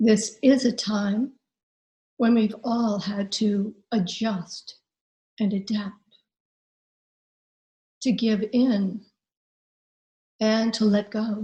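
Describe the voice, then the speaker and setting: Speaking at a very slow pace with long, frequent pauses, a woman has a somewhat breathy, gentle, dark and mellow tone, a fairly high pitch, and monotone, flat intonation. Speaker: hypnotherapist and life transformation coach. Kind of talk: guided imagery hypnosis session. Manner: slow, gentle, calming.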